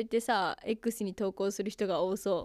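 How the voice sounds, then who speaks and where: Recorded very cleanly against a silent background, a woman talks in an animated tone with a dry, close sound and no echo. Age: young. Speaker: radio personality and idol. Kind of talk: casual radio talk.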